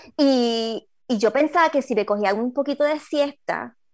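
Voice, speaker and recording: Against a quiet background, a woman with a normal speaking voice talks at a fairly slow pace with ordinary pitch variation. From Puerto Rico. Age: 40s. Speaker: trail runner. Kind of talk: casual interview. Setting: video call.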